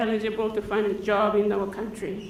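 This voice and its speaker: A woman talks at a moderate pace amid audible room echo. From Papua New Guinea. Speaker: farm manager. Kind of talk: conference talk.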